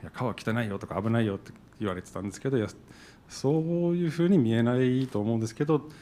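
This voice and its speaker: Speaking at a very fast pace, a man with an English accent has a medium pitch and ordinary pitch variation. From New Jersey, US. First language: English (speaking Japanese). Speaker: event organizer, business owner; panelist. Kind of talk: panel discussion. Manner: halting. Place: hall. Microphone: handheld.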